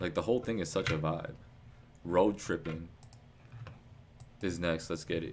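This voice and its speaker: Pitch rises and falls in an ordinary way. The delivery keeps a moderate pace. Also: man. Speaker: music reaction streamer. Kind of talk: live album reaction stream. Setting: live stream with chat. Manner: casual, stumbling over words.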